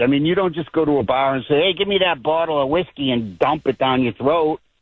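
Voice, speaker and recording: Speaking at a moderate pace, a man with a fairly high pitch uses a normal speaking voice. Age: 60s. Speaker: caller. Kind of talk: phone-in conversation. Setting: phone call.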